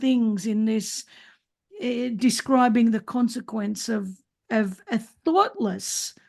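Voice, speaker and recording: A woman with an Australian accent, high in pitch with ordinary pitch variation, at a very slow pace. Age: 60s. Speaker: podcast host. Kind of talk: casual chat. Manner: halting.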